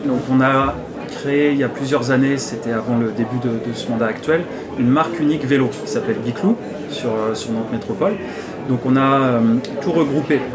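A man at a medium pitch and moderate pace, with ordinary pitch variation, long, frequent pauses, audible room echo and noticeable background noise. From France, Nantes. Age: 30s. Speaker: city councillor. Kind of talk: interview. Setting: brasserie. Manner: hesitant.

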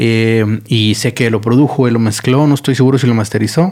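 With a dark, mellow tone, a man speaks at medium pitch and a moderate pace, using ordinary pitch variation. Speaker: podcast host. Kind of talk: casual monologue. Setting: studio.

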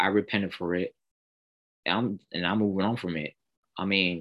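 A man with an American accent and a normal speaking voice, fairly low in pitch, moderate in pace, with fairly even intonation. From Pennsylvania. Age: 20s. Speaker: pastor's son and church musician. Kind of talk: podcast interview, testimony.

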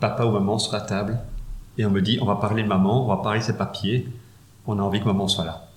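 Room echo is audible as a man talks at a very fast pace. His pitch is fairly low and his intonation fairly even. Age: 40s. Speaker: funeral administration advisor. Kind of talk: interview.

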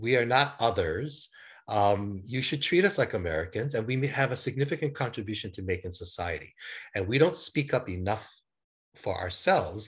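Against a quiet background, a man speaks at a moderate pace in a somewhat breathy, medium-pitched voice with very wide pitch swings. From Hawaii (Honolulu). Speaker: business travel and events consultant. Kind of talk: interview.

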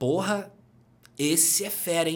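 A man with an energetic tone, ordinary pitch variation and a fairly slow pace. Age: 40s. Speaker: personal trainer and entrepreneur. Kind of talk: casual interview chat.

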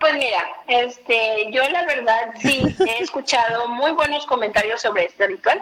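Over noticeable background noise, a woman with a high voice speaks fairly slowly with lively intonation and hardly any pauses. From Torreón, Coahuila, northern Mexico. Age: 20s. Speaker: youtuber on paranormal topics. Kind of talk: casual interview.

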